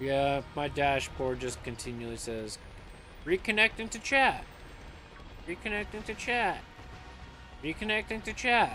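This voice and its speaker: With music in the background, a high-pitched man speaks at a fairly slow pace, his pitch swinging very widely between long, frequent pauses. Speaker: streamer. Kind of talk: casual chat.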